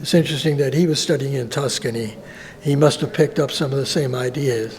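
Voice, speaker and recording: Fairly high pitch for a man, with ordinary pitch variation. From US Northeast (Buffalo, New York). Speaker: visual artist. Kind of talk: interview. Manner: halting, many fillers.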